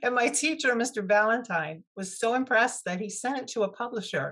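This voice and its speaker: Against a quiet background, a woman has an ordinary speaking voice, fairly high in pitch with lively intonation. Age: 60s. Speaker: author and former teacher. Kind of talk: interview.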